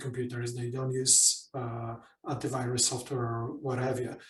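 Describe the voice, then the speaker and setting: Audible room echo surrounds a man's voice. He speaks at a medium pitch and a moderate pace. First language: not English (English is third language). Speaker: business consultant and coach. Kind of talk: workshop Q&A. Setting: online workshop.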